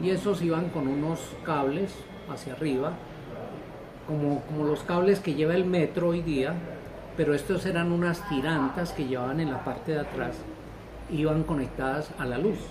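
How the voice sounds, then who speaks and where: A man with a fairly high voice speaks at a moderate pace, leaving long, frequent pauses. His intonation stays fairly even amid audible room echo and noticeable background noise. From Colombia, Bogotá. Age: 70s. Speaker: accountant. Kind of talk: interview. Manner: hesitant, with fillers.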